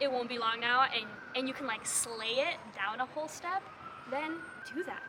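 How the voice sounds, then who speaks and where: Against noticeable background noise, a woman with a high pitch talks fairly quickly in an animated tone with lively intonation. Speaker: musical theatre audition coach. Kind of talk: casual tutorial vlog.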